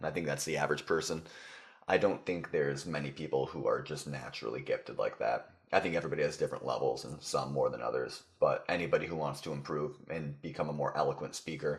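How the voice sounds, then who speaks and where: A man talks very fast while noticeable background noise fills the recording. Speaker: podcast guest.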